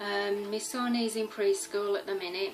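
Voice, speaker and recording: With music in the background, a woman with a Birmingham accent talks at medium pitch and a fairly slow pace. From West Midlands, Birmingham area. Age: 30s. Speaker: cross-stitch vlogger. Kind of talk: casual vlog talk.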